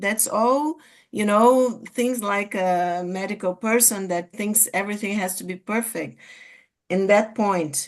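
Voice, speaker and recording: A woman speaks with a Portuguese accent at a fairly slow pace, her pitch medium. Her pitch varies in an ordinary way, and the background is quiet. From Brazil. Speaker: psychiatrist and study group speaker. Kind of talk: group discussion. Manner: halting, many fillers.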